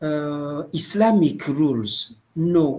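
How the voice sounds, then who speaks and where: Speaking very slowly with a French accent, a man uses a fairly high pitch and ordinary pitch variation. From Burundi. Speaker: imam and women's rights advocate. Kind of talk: group video discussion. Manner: halting.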